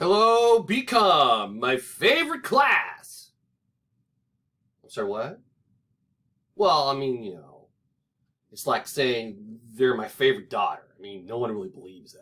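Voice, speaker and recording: With an American accent, a man talks at a very slow pace, leaving long, frequent pauses. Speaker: teacher recording a lecture video. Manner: joking, conversational.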